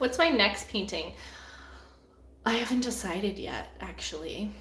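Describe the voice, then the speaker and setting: In a Canadian accent, a woman speaks at a fairly slow pace, medium in pitch and with lively intonation. Audible room echo and noticeable background noise fill the recording. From Canada. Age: 20s. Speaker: artist. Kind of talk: live Q&A stream. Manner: casual, halting with fillers.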